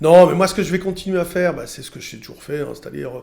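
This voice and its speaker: At a very fast pace, a man talks in a high-pitched voice with a dark, mellow tone. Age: 60s. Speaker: trader and radio commentator. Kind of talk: casual interview chat. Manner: hesitant, with fillers.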